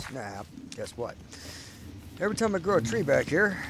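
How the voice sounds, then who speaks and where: Noticeable background noise runs behind a man's voice. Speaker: gamer. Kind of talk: casual game base tour commentary.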